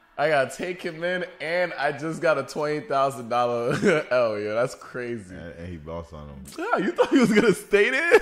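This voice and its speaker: At a moderate pace with hardly any pauses, a man talks with big swings in loudness. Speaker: movie reactor. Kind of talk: casual reaction commentary. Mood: amused, laughing. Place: home room. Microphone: studio mic.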